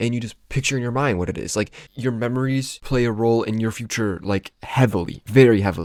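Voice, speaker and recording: Recorded very cleanly over a silent background, a man with an ordinary speaking voice talks at a fairly quick pace and medium pitch, with ordinary pitch variation and hardly any pauses. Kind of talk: casual talk to camera. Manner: casual, rambling.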